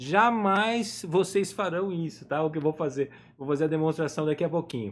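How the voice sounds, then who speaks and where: A man with a plain, everyday voice, fairly high in pitch, at a moderate pace with lively intonation. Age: 50s. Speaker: drawing teacher. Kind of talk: live online lesson. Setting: home office, live stream.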